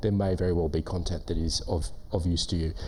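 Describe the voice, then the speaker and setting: A man's very fast, somewhat breathy speech in an Australian accent, with ordinary pitch variation and audible room echo. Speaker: government relations manager. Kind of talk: conference presentation.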